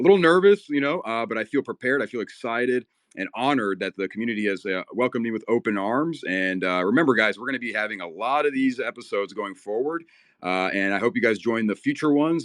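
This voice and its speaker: With lively intonation, a man talks at a very fast pace. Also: dry, close sound with no echo. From USA (born in Kyiv, Ukraine, moved at five). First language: Russian. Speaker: talk show host. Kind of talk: online audio show wrap-up. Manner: hesitant, many fillers.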